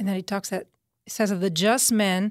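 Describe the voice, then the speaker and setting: A woman speaks at a medium pitch with an Italian accent, the sound dry and close with no echo. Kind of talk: religious teaching interview. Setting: pre-recorded studio segment.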